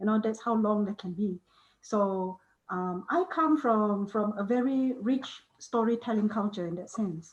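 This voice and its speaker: Somewhat breathy, a woman speaks at a fairly high pitch and fairly slow pace with ordinary pitch variation. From Malaysian Borneo (Sarawak), Iban community. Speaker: author. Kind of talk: panel discussion. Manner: hesitant, many repetitions and fillers.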